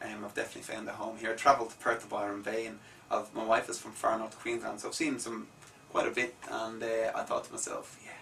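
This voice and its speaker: There is noticeable background noise behind this recording. A man with an Irish accent talks at a very fast pace. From Ireland, Dublin. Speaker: musician. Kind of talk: radio interview. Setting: radio studio.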